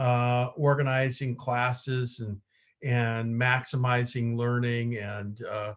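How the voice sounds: A man of medium pitch speaks at a slow pace with little pitch movement.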